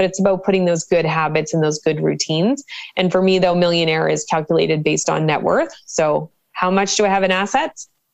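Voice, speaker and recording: A woman has an ordinary speaking voice with fairly low pitch. She talks at a fairly quick pace with very even loudness. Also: ordinary pitch variation. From Canada, Cole Harbour, Nova Scotia. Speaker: financial educator and professor. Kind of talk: interview.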